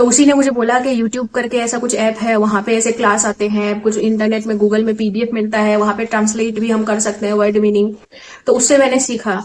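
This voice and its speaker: A woman with an Assamese accent, fairly high in pitch, monotone and flat, at a moderate pace with hardly any pauses, over noticeable background noise. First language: Assamese (speaking Hindi). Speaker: exam aspirant vlogger. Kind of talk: casual vlog talk. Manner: hesitant, many fillers.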